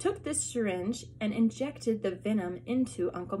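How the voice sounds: Pitch varies an ordinary amount in a natural reading voice.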